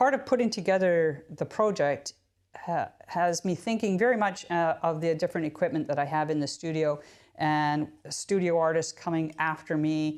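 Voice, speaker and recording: Speaking with a Canadian accent and a plain, everyday voice, a woman talks at a moderate pace at fairly low pitch with ordinary pitch variation, on a very clean recording with a silent background. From Canada. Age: 60s. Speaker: potter. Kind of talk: tutorial. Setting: pottery studio. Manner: casual, conversational with fillers.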